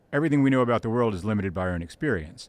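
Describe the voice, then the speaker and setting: Very cleanly recorded over a silent background, a man with an American accent talks at a fairly low pitch with lively intonation. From United States. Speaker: podcast host and writer. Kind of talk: podcast interview.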